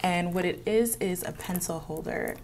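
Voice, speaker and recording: Audible room echo hangs around this voice. It belongs to a woman with a fairly low pitch. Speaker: beauty vlogger. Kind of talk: get-ready-with-me makeup tutorial. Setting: office. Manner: casual, chatty with fillers.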